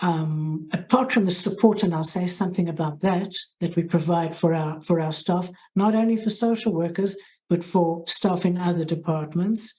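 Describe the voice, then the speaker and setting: A woman speaks with a South African accent, at a fairly low pitch and a moderate pace. Her voice is somewhat breathy with a dark, mellow tone and fairly even intonation. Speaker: hospital social work head. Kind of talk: interview.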